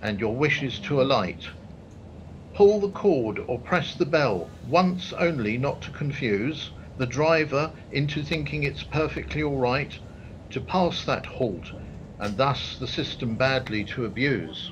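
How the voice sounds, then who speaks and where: Lively in intonation, a man with vocal fry and a fairly high pitch speaks fairly slowly in a room with audible echo. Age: 60s. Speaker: poet. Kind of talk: poetry reading.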